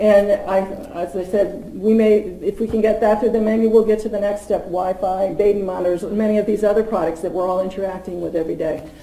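Someone with an American accent talks at a fairly quick pace with fairly even intonation, in audible room echo with light background noise. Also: woman. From Massachusetts (Stoneham, near Boston); Massachusetts. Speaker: policy advocate at a nonprofit; presenter. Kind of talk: public talk at a forum. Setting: forum with live audience. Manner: halting, many fillers and repeats. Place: meeting room. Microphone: podium.

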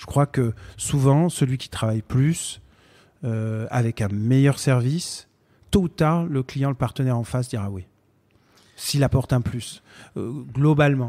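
A man speaks at medium pitch and a fairly slow pace, with ordinary pitch variation. His loudness swings widely, there are long, frequent pauses, and the recording is very clean with a silent background. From Marseille and Paris, France. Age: 40s. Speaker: business founder. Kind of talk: interview. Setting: company office. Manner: hesitant with many fillers.

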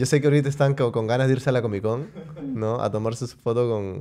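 The voice belongs to a man with a dark, mellow tone. He speaks at a moderate pace. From Peru. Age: 30s. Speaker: podcast host; podcast host or guest. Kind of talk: casual chat. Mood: relaxed, humorous. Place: studio. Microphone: studio mic.

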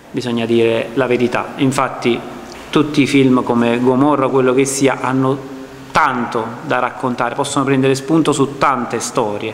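A man's monotone, flat delivery at a moderate pace, with audible room echo and light background noise. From Naples, Ponticelli. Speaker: film director. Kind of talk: public speech. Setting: public presentation with audience. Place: hall. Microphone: podium.

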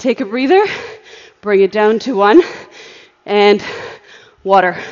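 A woman at a very slow pace, with ordinary pitch variation against a quiet background. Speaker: spin class instructor. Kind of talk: fitness class coaching. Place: gym. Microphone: earbuds.

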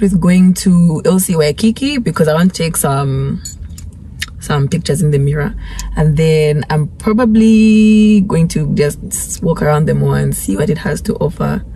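A woman with a fairly low pitch and lively intonation, at a moderate pace, in a dry sound with no echo and light background noise. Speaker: vlogger. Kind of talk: casual vlog chat. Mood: cheerful, upbeat. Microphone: phone near.

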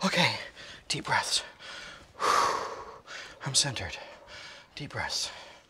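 A woman's whispered, put-on character voice at a very slow pace

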